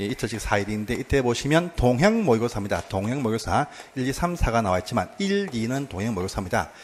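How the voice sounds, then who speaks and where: Speaking at a very fast pace, a man with a southern Korean accent uses lively intonation at a medium pitch. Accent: southern Korean dialect (Namdo). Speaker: exam prep instructor. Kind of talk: lecture.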